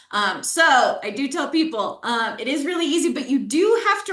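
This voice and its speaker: Noticeable background noise and audible room echo fill the recording. The woman's delivery moves at a moderate pace. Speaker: software company presenter. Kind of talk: webinar product demo.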